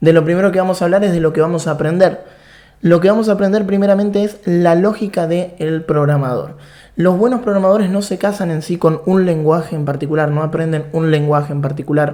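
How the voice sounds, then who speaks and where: A man with an Argentine accent, high-pitched and dark, mellow in tone, with ordinary pitch variation at a fairly quick pace in audible room echo. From Argentina. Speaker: programming instructor. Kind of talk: online course lecture.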